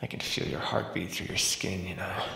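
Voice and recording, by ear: Putting on a character voice, a man speaks low in pitch at a moderate pace, with vocal fry, a bright, sharp tone, ordinary pitch variation and strong room echo.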